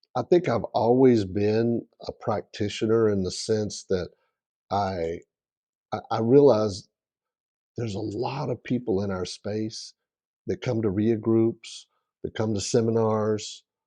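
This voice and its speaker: At a very slow pace with long, frequent pauses, a man with a Southern US accent speaks in a dark, mellow tone with fairly even intonation, the sound dry and close with no echo against a quiet background. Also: medium pitch for a man. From South Carolina. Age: 60s. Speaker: real estate investor. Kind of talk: interview.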